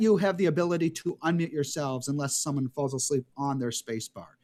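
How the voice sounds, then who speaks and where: A man with an American accent at a fairly quick pace, the sound dry and close with no echo. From New York City (Brighton Beach, Brooklyn). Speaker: rabbi teaching an adult class. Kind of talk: online class introduction. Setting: video call from home bedroom.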